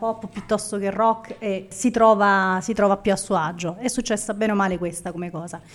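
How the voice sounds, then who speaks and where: Here is a woman with an unremarkable speaking voice, medium in pitch and fairly even in intonation. Her moderate pace comes across in a very clean recording with a silent background. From Naples, Italy. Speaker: food photographer. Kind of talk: live podcast interview. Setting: live audience at a café venue.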